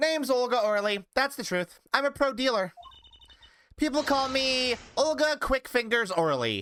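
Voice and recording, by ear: Using a put-on character voice, the speaker talks at a moderate pace and a fairly high pitch.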